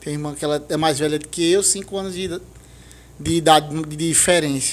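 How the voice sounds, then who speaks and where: A man's fairly high, monotone, flat voice at a very fast pace, with long, frequent pauses and big swings in loudness. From Santa Cruz do Capibaribe, Pernambuco, Brazil. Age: 30s. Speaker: podcast guest. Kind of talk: testimony.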